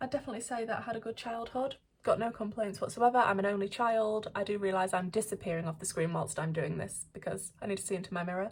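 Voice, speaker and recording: A woman's somewhat breathy, medium-pitched voice at a very fast pace, with hardly any pauses and ordinary pitch variation. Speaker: beauty YouTuber. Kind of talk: casual chat while doing makeup.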